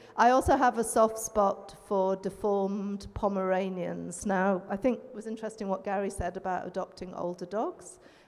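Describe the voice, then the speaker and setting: Over noticeable background noise, a woman with an English accent speaks at a moderate pace and medium pitch with fairly even intonation. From England. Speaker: veterinarian. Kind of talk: panel discussion.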